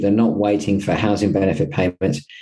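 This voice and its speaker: A man with an Australian accent talks at a moderate pace in a fairly low pitch against a quiet background. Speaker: property management company co-founder. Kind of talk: interview.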